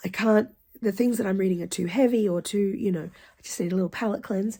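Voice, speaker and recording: At a fairly quick pace, a woman speaks in a somewhat breathy voice with ordinary pitch variation. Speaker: book reviewer. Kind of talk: casual talk to camera.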